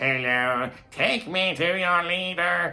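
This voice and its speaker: Putting on a cartoonish character voice, a man talks very slowly in a high pitch. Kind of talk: 1950s cartoon. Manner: over the top, silly.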